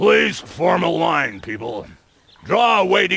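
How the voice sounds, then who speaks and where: A man puts on a character voice, pitched high for a man and delivered at a fairly slow pace. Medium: video game. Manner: bossy, officious.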